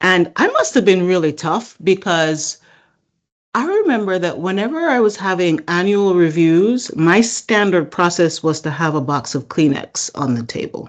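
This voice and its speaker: Here a woman talks at a moderate pace. Her intonation is lively. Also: medium pitch for a woman. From Jamaica. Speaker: supply chain executive and leadership coach. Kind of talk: interview.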